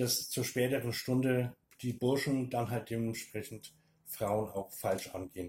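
Somewhat breathy, a man of medium pitch speaks at a fairly slow pace in a dark, mellow tone. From Upper Franconia, Bavaria (near Hof). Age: 50s. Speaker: former lecturer, interview guest. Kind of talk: interview.

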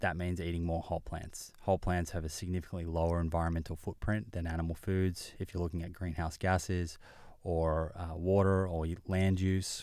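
With a very deep, low pitch and monotone, flat intonation, a man speaks in an Australian accent on a very clean recording with a silent background. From Australia (Melbourne). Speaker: nutritionist and podcast host. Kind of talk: interview conversation. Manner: repeats words when starting sentences.

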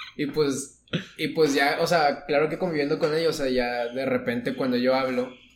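Over noticeable background noise, a man at a medium pitch talks at a fairly quick pace with fairly even intonation. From northern Mexico. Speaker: architecture student. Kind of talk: casual chat.

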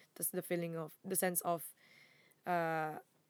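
Monotone, flat speech from a woman with a Filipino accent, fairly low in pitch, at a moderate pace. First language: Tagalog. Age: 20s. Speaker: podcast co-host. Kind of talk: casual chat.

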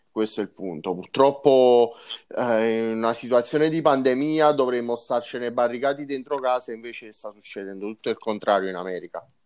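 A man speaks in a normal speaking voice at medium pitch and a fairly quick pace. His loudness swings widely, and the background is quiet. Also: ordinary pitch variation. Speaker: motorsport journalist. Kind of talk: casual chat.

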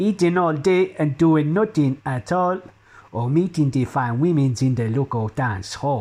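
A man's fairly high, somewhat breathy voice with a dark, mellow tone, lively intonation and a fairly slow pace. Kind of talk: comic satirical poem performed in a put-on accent. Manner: rhythmic, rhyming couplets delivered in a mock-pidgin voice.

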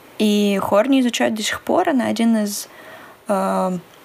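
A woman's voice over noticeable background noise. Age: 20s. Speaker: psychology student and podcast co-host. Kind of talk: casual chat.

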